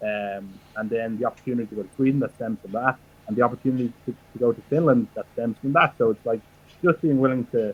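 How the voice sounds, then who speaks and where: In an Irish accent, a man speaks at a very fast pace and medium pitch, his loudness swinging widely, the sound dry and close with no echo. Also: ordinary pitch variation. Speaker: professional wrestler. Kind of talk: interview.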